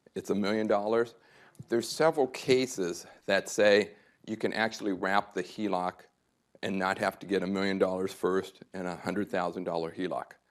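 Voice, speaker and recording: Recorded very cleanly with a silent background, a man speaks at a moderate pace in a fairly low pitch with ordinary pitch variation. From Southern California (Santa Monica). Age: 60s. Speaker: tax and estate planning adviser. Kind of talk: workshop presentation. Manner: conversational, checks in with audience.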